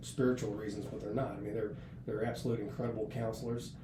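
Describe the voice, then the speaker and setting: Audible room echo surrounds a man whose medium-pitched voice has a dark, mellow tone and vocal fry. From US, north central West Virginia. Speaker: senior Navy enlisted leader. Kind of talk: podcast interview. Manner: casual, with many hesitations and repeats.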